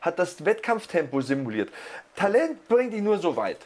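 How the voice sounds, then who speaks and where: A man speaks in an animated tone at a fairly quick pace with ordinary pitch variation, noticeable noise behind him. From Lower Bavaria, Germany. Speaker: sports commentator (wrestling and MMA). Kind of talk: casual podcast chat.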